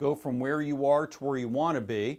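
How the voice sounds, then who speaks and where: A man at medium pitch and moderate pace, ordinary pitch variation, a plain, everyday voice. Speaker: course instructor. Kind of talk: online course lecture.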